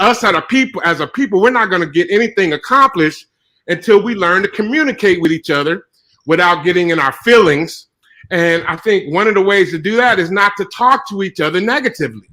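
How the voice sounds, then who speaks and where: A man's raised, projected voice has a bright, sharp tone and high pitch, with lively intonation at a fairly quick pace. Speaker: speaker in an online audio room. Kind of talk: heated debate. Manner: loud.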